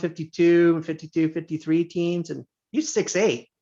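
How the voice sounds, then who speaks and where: A man's plain, everyday voice in an American accent, fairly high-pitched and fairly slow. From Indiana. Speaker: teacher and basketball coach. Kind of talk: casual chat.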